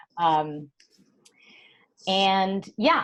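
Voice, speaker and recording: Here a woman has an unremarkable speaking voice, medium in pitch, with fairly even intonation. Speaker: hormone health expert and author. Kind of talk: interview conversation.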